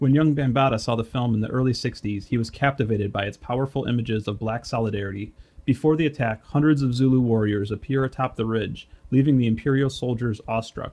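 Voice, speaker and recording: A man talks at a very fast pace in a Midwestern American accent. His tone is dark and mellow, with fairly even intonation. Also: medium pitch for a man. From Detroit, Michigan. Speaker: podcast host. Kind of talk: scripted narration.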